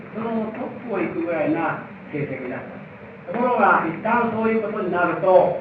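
With audible room echo and noticeable background noise, a man talks at a high pitch. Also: lively intonation, moderate pace. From Japan, Aichi (Mikawa coast). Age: 70s. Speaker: literature professor. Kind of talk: lecture.

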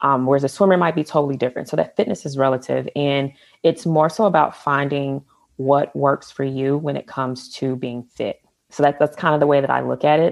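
An American woman speaks at a fairly quick pace with a very deep, low pitch and fairly even intonation. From US South, Atlanta, Georgia. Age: 30s. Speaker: photographer and former bodybuilder. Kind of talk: casual interview.

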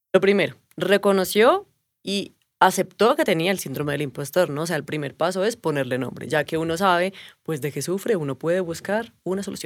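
With an ordinary speaking voice, a woman talks at a fairly quick pace, her fairly low pitch carried by lively intonation. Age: 30s. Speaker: stand-in co-host. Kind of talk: casual chat.

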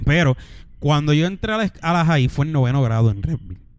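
A man talks in an ordinary speaking voice at a moderate pace. His pitch is fairly high, with ordinary pitch variation. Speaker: podcast co-host. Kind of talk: casual chat.

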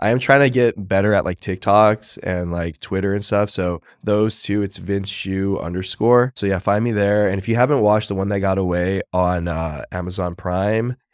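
A man with an American accent speaks in a normal speaking voice, fairly low in pitch, with fairly even intonation and hardly any pauses. The recording is very clean with a silent background and a dry, close sound with no echo. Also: moderate pace. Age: 30s. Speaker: lawyer and reality show contestant. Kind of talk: casual chat.

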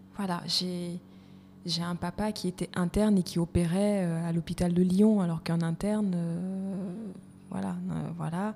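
A woman speaks at a fairly slow pace in a fairly low, dark, mellow and somewhat breathy voice, with monotone, flat intonation and long, frequent pauses. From Côte d'Ivoire, part Malagasy. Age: 30s. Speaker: HR consultant and coach. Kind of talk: podcast interview.

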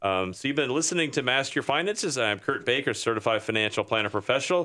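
A man with an American accent speaks at a medium pitch in a bright, sharp tone. The recording is very clean, with a silent background. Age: 60. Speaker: radio host, financial planner. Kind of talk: radio interview. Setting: radio studio.

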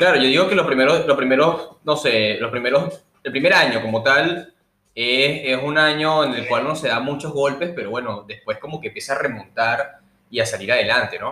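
This man has a normal speaking voice, fairly high in pitch, with ordinary pitch variation and a fairly quick pace. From Venezuela, Puerto Cabello. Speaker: podcast host. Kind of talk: casual interview; news reading.

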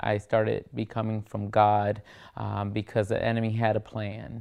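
The speaker is a man. He talks at a fairly slow speed. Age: 30s. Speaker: church singer sharing testimony. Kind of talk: testimony. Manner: hesitant, many fillers.

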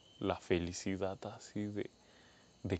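His intonation stays monotone and flat. The man's voice sits very deep and low. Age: 20s. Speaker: podcaster. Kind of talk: personal monologue.

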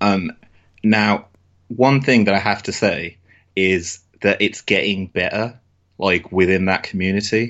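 Speaking with a British accent, a man uses a fairly low pitch. He leaves long, frequent pauses. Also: fairly even intonation, fairly slow pace. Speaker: wrestling fan podcaster. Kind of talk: casual chat.

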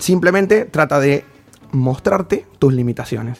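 A man speaks in a northern Argentine accent at a fairly slow pace. His pitch swings very widely. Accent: regional northern Argentine lilt. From Formosa, northern Argentina. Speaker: life coach. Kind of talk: casual chat.

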